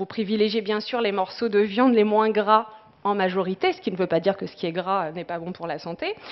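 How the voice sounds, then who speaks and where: This woman speaks at a medium pitch. Her pitch varies in an ordinary way. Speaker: dietitian-nutritionist. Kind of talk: presentation talk. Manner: fast; hesitant with many fillers.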